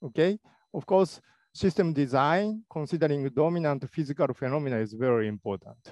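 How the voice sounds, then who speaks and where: Lively intonation from a man, dry with no echo over a quiet background. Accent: Japanese. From Japan. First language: Japanese. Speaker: robotics professor; conference speaker. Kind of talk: lecture. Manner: halting.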